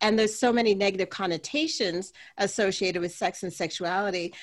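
With a plain, everyday voice, she talks at a moderate pace, her pitch medium for a woman and her pitch variation ordinary. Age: 50s. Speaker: radiologist and sex coach. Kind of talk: interview.

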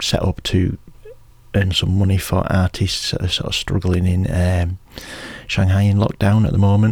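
The voice has a relaxed tone and sounds somewhat breathy. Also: man. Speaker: community radio DJ. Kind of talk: radio DJ patter between tracks. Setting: radio studio. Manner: relaxed, chatty, rambling with fillers; informal, self-deprecating, laughs.

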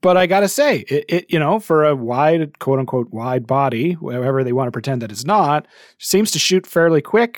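An unremarkable speaking voice at a moderate pace with lively intonation, recorded in a dry, close sound with no echo. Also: man, fairly high pitch for a man. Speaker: podcast host. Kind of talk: casual chat. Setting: video call.

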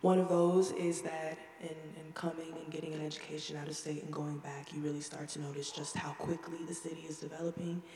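A fairly quick delivery with an American accent, over noticeable background noise. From Texas (Houston). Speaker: student audience member. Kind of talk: audience question.

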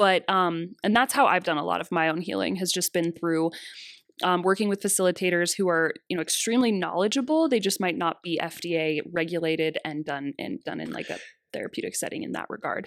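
A woman speaks with an ordinary speaking voice. Her pitch is fairly low, with ordinary pitch variation. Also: fairly quick pace. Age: 20s. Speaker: massage therapist and bodyworker. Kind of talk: casual interview chat.

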